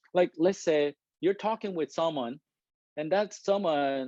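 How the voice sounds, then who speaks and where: A fairly high-pitched man's voice with a non-native accent, dark and mellow in tone, at a fairly slow pace, dry and close with no echo. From Korea. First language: Korean. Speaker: engineering manager giving a talk. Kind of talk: presentation to an audience. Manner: deliberate, trying to speak clearly.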